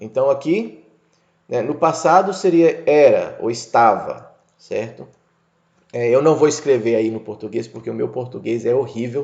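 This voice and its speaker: A man with an unremarkable speaking voice talks at a fairly high pitch and a fairly slow pace. His intonation is lively, with big swings in loudness. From United States (moved from Brazil at age 6). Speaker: English teacher. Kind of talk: lecture. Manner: casual, conversational.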